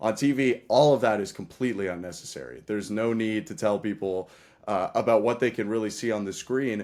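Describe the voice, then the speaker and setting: On a very clean recording with a silent background, a man with a fairly low pitch speaks at a fairly quick pace with ordinary pitch variation. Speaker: baseball play-by-play broadcaster. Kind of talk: casual interview.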